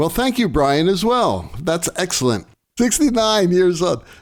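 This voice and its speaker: Against noticeable background noise, a high-pitched man's voice swings very widely in pitch. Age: 60s. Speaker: lighting designer and podcast co-host. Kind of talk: casual chat.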